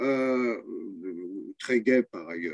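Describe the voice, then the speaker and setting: Recorded with a dry, close sound and no echo, a man talks at a very slow pace. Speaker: retired rural sociologist. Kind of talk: oral history testimony. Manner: hesitant, many fillers and repetitions.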